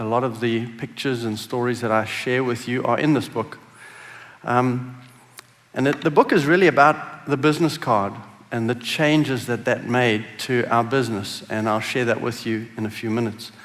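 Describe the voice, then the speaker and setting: A man at a moderate pace with fairly even intonation, amid audible room echo. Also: medium pitch for a man. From South Africa. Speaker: business executive. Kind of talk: conference talk.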